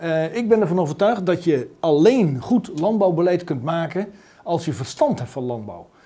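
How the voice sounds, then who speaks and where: A man speaks in a high pitch with a dark, mellow tone. His pace is moderate and his intonation lively. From rural Netherlands. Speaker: politician. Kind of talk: interview. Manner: halting. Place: office.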